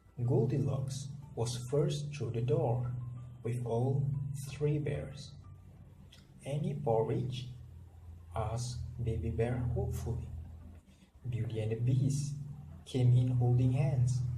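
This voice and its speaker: Over music in the background, a man with a medium pitch talks at a very slow pace with fairly even intonation and long, frequent pauses. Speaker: storyteller reading a picture book to kids. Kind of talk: children's storybook read-aloud.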